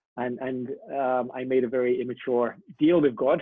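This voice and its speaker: With an English accent, a man talks at a medium pitch with ordinary pitch variation. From England. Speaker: missionary, youth worker. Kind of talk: interview.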